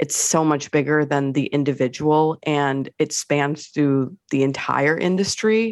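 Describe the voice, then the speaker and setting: This woman's pitch is very deep and low, with ordinary variation. She talks at a fairly slow pace, and the sound is dry and close with no echo. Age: 30s. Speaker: fashion writer and trend analyst. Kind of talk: radio interview.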